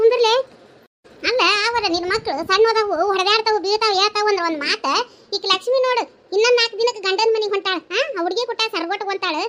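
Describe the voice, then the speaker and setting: This is a cartoonish character voice at a moderate pace. Its pitch varies in an ordinary way. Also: woman, extremely high pitch for a woman. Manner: scolding, loud, exasperated.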